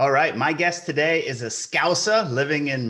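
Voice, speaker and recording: The voice has a bright, sharp tone and an American accent. Audible room echo surrounds it. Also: man. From Kentucky, US. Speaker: podcast host. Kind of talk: podcast interview.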